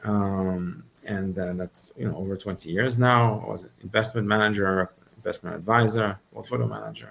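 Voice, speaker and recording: Delivered at a moderate pace with a French accent, the speech shows ordinary pitch variation. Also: man, fairly low pitch for a man. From Switzerland, Geneva. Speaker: venture capital investor. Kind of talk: interview.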